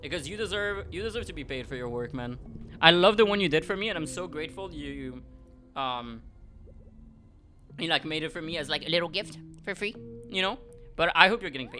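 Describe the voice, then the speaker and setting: Over music in the background, a man with a French accent talks at a fairly quick pace with a high pitch and lively intonation. His loudness swings widely, and he takes long, frequent pauses. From France. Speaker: vtuber streamer. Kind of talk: casual chat; reading aloud. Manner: halting.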